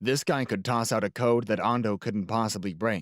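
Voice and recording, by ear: In a natural voice, the text is read aloud.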